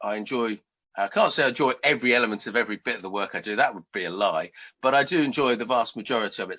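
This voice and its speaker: A man's bright, sharp voice at medium pitch with ordinary pitch variation, at a very fast pace, on a very clean recording with a silent background. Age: 50s. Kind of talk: interview. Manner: animated.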